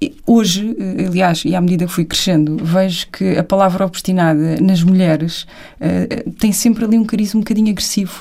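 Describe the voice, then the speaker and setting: A woman with a dark, mellow tone speaks at a medium pitch and a moderate pace, somewhat breathy. Her loudness stays very even, with ordinary pitch variation. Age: 30s. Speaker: television producer and business co-founder. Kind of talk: casual chat.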